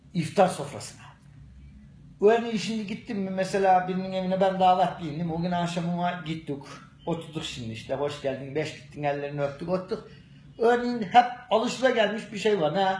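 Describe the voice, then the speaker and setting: A man with a Bolu accent and a high voice speaks at a moderate pace with ordinary pitch variation and long, frequent pauses, with audible room echo. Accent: Gerede regional dialect. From Gerede, Bolu, Turkey. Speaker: local man answering a question. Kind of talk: street interview answer. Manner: humorous, casual. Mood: joking, animated. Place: office. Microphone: phone near.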